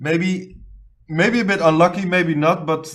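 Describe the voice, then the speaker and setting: Here a man talks at a fairly slow pace. He has a non-native accent. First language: not English. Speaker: esports caster, channel owner. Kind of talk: live commentary. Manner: halting.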